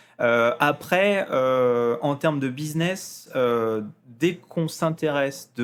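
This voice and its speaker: His voice has a medium pitch. The man speaks at a very slow pace. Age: 30s. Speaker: hobby business owner and youtuber. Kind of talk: casual podcast interview. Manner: hesitant, many fillers.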